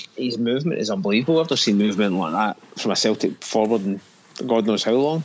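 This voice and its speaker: With a Scottish accent, a man talks very fast at a medium pitch, his intonation lively. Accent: Scottish, noticeable. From Scotland. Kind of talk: casual chat.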